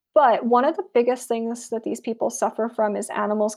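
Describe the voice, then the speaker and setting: A woman with an American accent speaks at a fairly quick pace and fairly high pitch, her dark, mellow tone touched by vocal fry, with ordinary pitch variation. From US South, South Florida. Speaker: anthropologist. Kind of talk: interview.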